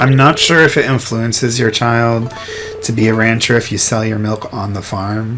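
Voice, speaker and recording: Soft-spoken and mumbling, the voice moves at a moderate pace over noticeable background noise. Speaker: gaming youtuber. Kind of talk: let's play commentary. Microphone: microphone far away, boosted gain, poor quality.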